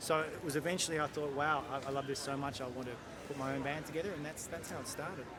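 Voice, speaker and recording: A man talks at a very fast pace with an Australian accent, his pitch fairly high and his intonation fairly even. Noticeable background noise and audible room echo fill the recording. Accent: Australian, obvious. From Australia, Sydney suburbs. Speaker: jazz bandleader and musician. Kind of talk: interview. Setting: outdoors in a park.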